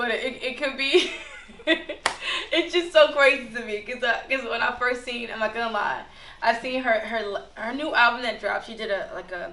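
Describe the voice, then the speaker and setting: Amid noticeable background noise and audible room echo, a woman speaks at a moderate pace in a high pitch with ordinary pitch variation and big swings in loudness. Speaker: artist and former fashion model. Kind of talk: casual podcast chat.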